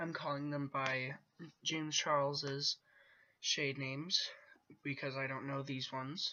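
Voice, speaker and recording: The pace is fairly slow. Long pauses break in frequently. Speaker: beauty vlogger. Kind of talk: makeup tutorial. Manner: casual, filler-heavy.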